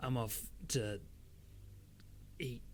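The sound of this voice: A man's croaky, put-on character voice at a medium pitch, over clear background noise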